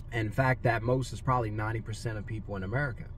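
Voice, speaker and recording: Over light background noise, a man speaks at a moderate pace with a somewhat breathy voice and a dry sound with no echo. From Louisiana. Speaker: business coach; money mindset coach. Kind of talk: motivational talk. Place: car. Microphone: phone near.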